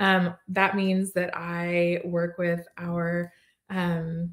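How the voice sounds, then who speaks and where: Somewhat breathy and at medium pitch, a woman speaks with an American accent. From Texas, Plano. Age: 40s. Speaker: sponsorship coordinator for a parenting website. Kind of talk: casual interview.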